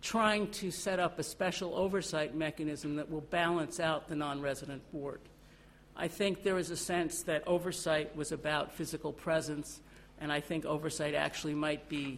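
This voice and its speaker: The woman's voice has a very deep, low pitch. Her intonation is fairly even. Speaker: lawyer at an international bank. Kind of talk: panel talk. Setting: conference stage.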